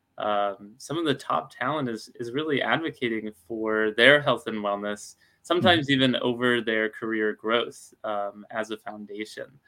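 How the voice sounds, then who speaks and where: A man talks in a normal speaking voice at a medium pitch. His pace is moderate, with ordinary pitch variation. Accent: American. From Alabama, US South. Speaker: startup founder. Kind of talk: webinar interview.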